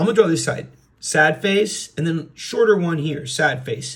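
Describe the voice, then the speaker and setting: A man with a fairly high pitch talks at a moderate pace with ordinary pitch variation in an ordinary speaking voice. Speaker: art teacher. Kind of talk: drawing tutorial.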